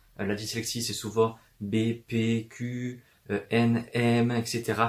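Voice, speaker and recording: A man with medium pitch speaks in a somewhat breathy voice with monotone, flat intonation. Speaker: booktuber. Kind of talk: casual talk to camera. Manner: fast.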